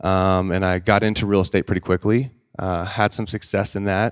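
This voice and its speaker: A normal speaking voice from a man, fairly low in pitch, at a moderate pace with fairly even intonation, dry and close with no echo on a very clean recording with a silent background. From Oklahoma. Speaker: CBD entrepreneur, former real estate agent. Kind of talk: casual roundtable chat.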